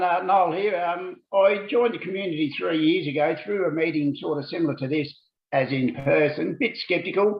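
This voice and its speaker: At a moderate pace, a man talks in a high pitch. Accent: Australian. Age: 60s. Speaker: business community member. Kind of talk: testimony.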